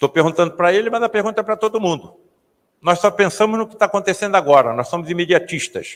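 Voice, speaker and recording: A man's high voice at a very fast pace, with ordinary pitch variation. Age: 70s. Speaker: spiritist author and lecturer. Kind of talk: lecture.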